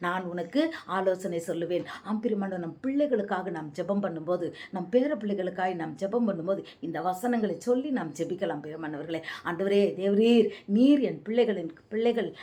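A woman talks at a medium pitch as noticeable background noise runs underneath. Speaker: evangelist. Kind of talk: bible teaching.

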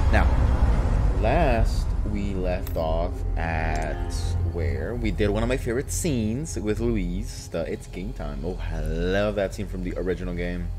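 A man talks while noticeable noise fills the background. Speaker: gaming streamer. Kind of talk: casual gameplay commentary. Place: home room.

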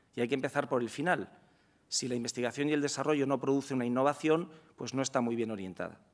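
A man rattles along at a very fast pace, his medium pitch showing ordinary pitch variation. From Spain. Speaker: law professor and director general; speaker. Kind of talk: lecture. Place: hall. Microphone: podium.

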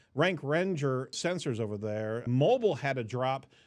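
Ordinary pitch variation from a man at a moderate pace, the background quiet. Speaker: podcast host. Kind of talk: news commentary. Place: studio. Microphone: studio mic.

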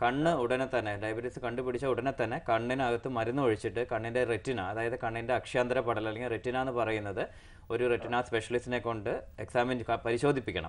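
A man speaks in an ordinary speaking voice at a medium pitch. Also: fairly even intonation. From Kerala, India. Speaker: eye doctor, retina specialist; guest. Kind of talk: medical phone-in Q&A. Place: studio. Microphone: lapel.

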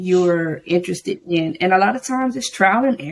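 The intonation is lively as a woman speaks. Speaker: English teacher; interview guest, educator. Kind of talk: casual interview. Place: home room.

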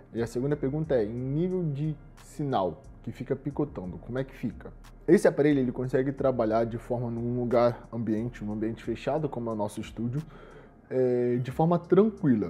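A man at medium pitch, talking fairly quickly with lively intonation. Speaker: shop presenter reviewing products. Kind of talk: product review tutorial. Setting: studio.

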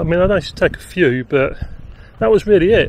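This man's voice is high and moves at a fairly quick pace. The sound is dry with no echo, and light background noise runs underneath. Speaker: vlogger. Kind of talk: casual vlog chat. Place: open country. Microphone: phone near.

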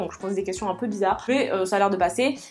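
A woman's voice with ordinary pitch variation over faint music in the background. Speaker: social sciences student. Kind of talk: casual talk to camera. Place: home room.

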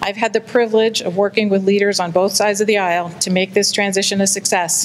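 Against light background noise, a woman talks at a fairly quick pace with fairly even intonation. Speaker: election candidate. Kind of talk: debate opening statement. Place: hall. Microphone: podium.

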